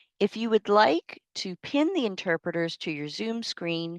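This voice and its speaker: A woman with an unremarkable speaking voice talks at a fairly slow pace with lively intonation. The sound is dry and close with no echo, over a quiet background. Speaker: university faculty member, panel moderator. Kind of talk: panel moderation on video call. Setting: video call.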